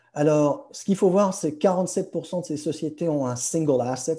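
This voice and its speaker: This man's voice is fairly high for a man, with a dark, mellow tone and ordinary pitch variation. The background is quiet. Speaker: pharma industry professional. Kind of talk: webinar presentation. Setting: video conference. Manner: halting, many hesitations; code-switching French and English.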